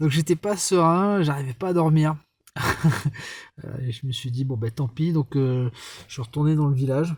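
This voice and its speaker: A man speaks at a moderate pace in a fairly high, somewhat breathy voice. He leaves long, frequent pauses. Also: ordinary pitch variation. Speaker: travel vlogger. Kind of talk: casual vlog narration. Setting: outdoors at night. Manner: soft-spoken.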